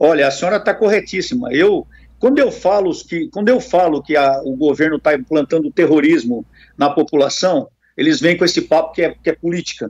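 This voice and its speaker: Lively intonation marks a man's high-pitched voice. He talks at a fairly quick pace. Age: 60s. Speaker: politician, retired police colonel. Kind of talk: radio interview.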